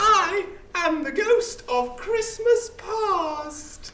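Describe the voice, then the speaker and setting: A put-on character voice, squeaky and extremely high in pitch, speaks at a very slow pace with a slight echo and clear background noise. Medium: stage play. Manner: solemn, calm.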